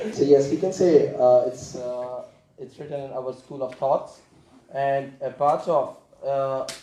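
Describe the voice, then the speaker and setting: A man with a non-native accent speaks at a fairly slow pace in a dark, mellow tone. His pitch is fairly high and varies in an ordinary way. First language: not English. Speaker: community volunteer. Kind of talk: Q&A contribution at training session. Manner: halting.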